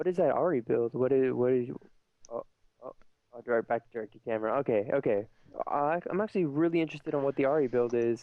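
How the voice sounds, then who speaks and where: A man's fairly high voice at a very fast pace, ordinary pitch variation, long and frequent pauses. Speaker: esports commentator. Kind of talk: live commentary. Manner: animated; stuttering.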